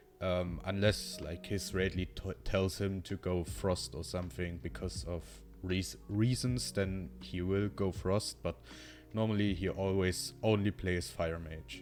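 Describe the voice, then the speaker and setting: With music in the background, a man with a very deep, low pitch speaks at a fairly slow pace and with lively intonation. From Germany. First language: German. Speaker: gaming streamer viewer and YouTuber. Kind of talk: unscripted monologue to camera. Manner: halting, with many fillers.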